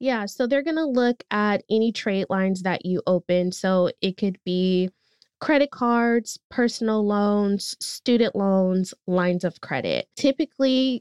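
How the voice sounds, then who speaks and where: With an American accent, a woman talks in a plain, everyday voice, fairly high in pitch and lively in intonation. Her pace is fairly slow, and the sound is dry and close with no echo. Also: quiet background. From US West Coast (East Oakland, California). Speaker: credit-building company community lead. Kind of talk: podcast interview.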